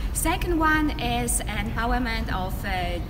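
A woman speaks with noticeable background noise. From Poland. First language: Polish. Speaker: community organization leader. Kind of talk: prepared presentation. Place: street. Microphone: camera far.

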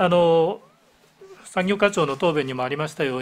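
Fairly high in pitch, a man speaks at a moderate pace with lively intonation. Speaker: town mayor. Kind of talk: formal council answer. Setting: council chamber. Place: meeting room. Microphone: podium.

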